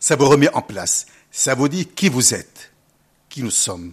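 A man with vocal fry at a fairly slow pace. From Lebanon. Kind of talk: interview. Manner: hesitant.

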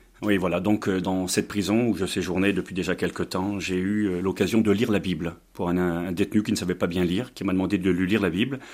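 On a very clean recording with a silent background, a man with a very deep, low voice talks at a fairly quick pace, with hardly any pauses and fairly even intonation. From Brittany, France. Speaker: pastor. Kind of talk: sermon; testimony.

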